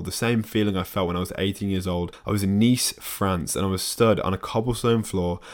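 With a British accent and a fairly low pitch, a man speaks at a fairly quick pace with fairly even intonation on a very clean recording with a silent background. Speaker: fitness YouTuber and podcast host. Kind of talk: solo podcast monologue. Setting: home desk with camera and microphone. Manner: casual, relaxed.

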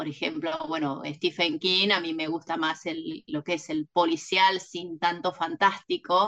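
A woman's fairly low pitch in a normal speaking voice, fairly slow with hardly any pauses, fairly even intonation and a dry, close sound with no echo. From Argentina, Mar del Plata. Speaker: novelist. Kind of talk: interview.

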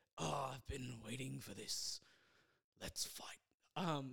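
A man speaks at a very slow pace in a raspy, put-on character voice. His pitch is medium. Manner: menacing, taunting.

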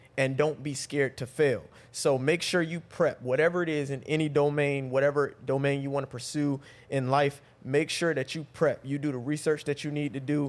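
This man speaks with an American accent at a moderate pace and a fairly high pitch. His intonation is monotone and flat, and the recording is very clean with a silent background. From North Carolina, Raleigh. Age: 30s. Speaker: relationship coach. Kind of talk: casual chat.

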